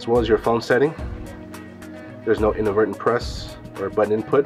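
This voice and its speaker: A man talks very fast while music plays clearly behind him. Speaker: booth demonstrator. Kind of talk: product demo explanation. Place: hall. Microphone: camera far.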